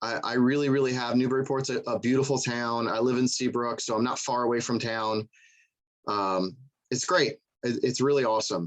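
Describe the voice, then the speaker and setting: With a slight Southern US accent, a man speaks with long, frequent pauses. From US South. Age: 30s. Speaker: coast guard petty officer. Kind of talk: presentation to museum audience. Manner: fast; casual, conversational.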